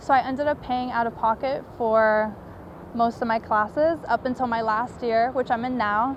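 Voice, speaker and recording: Fairly even intonation marks a woman's fairly high pitch in an ordinary speaking voice. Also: moderate pace. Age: 20s. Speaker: college student and documentary maker. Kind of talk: personal testimony.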